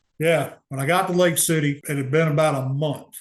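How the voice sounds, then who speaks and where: A somewhat breathy man with an American accent speaks at a fairly high pitch with monotone, flat intonation. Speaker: cancer survivor and navy veteran. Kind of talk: interview testimony. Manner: casual.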